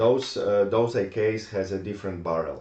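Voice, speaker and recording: A fairly low-pitched man with a Polish accent, audible room echo around him. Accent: Polish accent, non-native English. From Poland. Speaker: gun collector. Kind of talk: tutorial. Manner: halting, many fillers.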